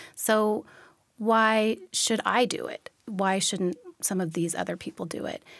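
A woman with an American accent talks at a fairly slow pace, fairly high in pitch with ordinary pitch variation, in an unremarkable speaking voice. The recording is very clean, with a silent background. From Washington State, Olympia area. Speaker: parenting journalist. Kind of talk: interview.

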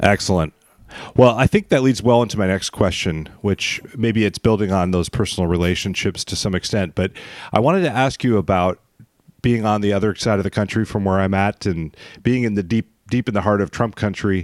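A man speaks in an ordinary speaking voice. His pace is fairly quick. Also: fairly low pitch for a man, ordinary pitch variation. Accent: American. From Western Montana. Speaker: podcast host. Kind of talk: interview; scripted narration.

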